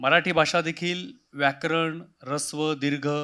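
A man speaks with a fairly high pitch and a bright, sharp tone. The recording is very clean and the background silent. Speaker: senior civil servant, city commissioner. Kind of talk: interview. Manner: measured, with pauses.

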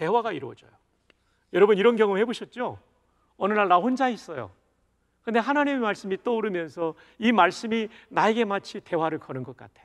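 With a quiet background, a man with a high pitch talks at a fairly quick pace, his lively intonation broken by long, frequent pauses and big swings in loudness. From South Korea, Busan; South Korea. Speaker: pastor. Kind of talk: sermon. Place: studio. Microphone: lapel.

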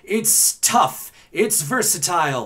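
Very wide pitch swings mark a man's speech, heard over noticeable background noise. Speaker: voice actor. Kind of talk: casual talk to camera.

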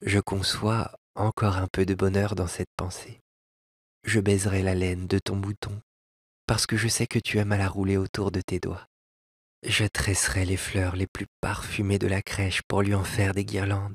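With a somewhat breathy, fairly low voice, a man speaks at a fairly slow pace in a monotone, flat intonation, the sound dry and close with no echo. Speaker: audiobook narrator. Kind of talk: scripted literary narration of a tale, read aloud with music.

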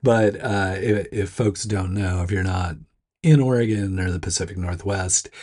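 In a very clean recording with a silent background, a man with a low pitch and a slightly husky edge speaks at a moderate pace. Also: ordinary pitch variation.

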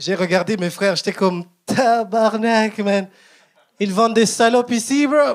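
Against a quiet background, a man with a high pitch talks at a fairly slow pace with ordinary pitch variation. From Rwanda. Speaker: stand-up comedian. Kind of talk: stand-up. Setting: stage with audience. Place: stage. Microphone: handheld.

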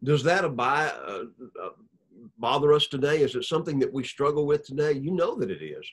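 With a Southern US accent, a man speaks somewhat breathily at a fairly quick pace, with ordinary pitch variation and a quiet background. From Alabama. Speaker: preacher, church elder; preacher. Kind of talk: sermon. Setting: recorded video. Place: office. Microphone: webcam.

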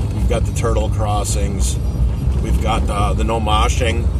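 Music plays in the background. A man speaks, the sound dry with no echo. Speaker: vlogger. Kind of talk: casual vlog chat. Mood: joking, irreverent. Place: car. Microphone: phone near.

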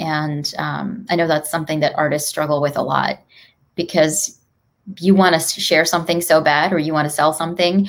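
At a moderate pace, a woman with a very deep, low pitch speaks with fairly even intonation. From UK-born, raised between London and Dallas. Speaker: artist, public speaker and author. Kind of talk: podcast interview answer. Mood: warm, reflective. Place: home room.

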